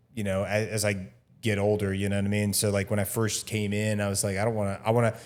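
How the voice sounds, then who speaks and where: On a very clean recording with a silent background, a man talks at a very fast pace in a fairly low voice. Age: 30s. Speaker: podcast host. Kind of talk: casual chat. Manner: casual.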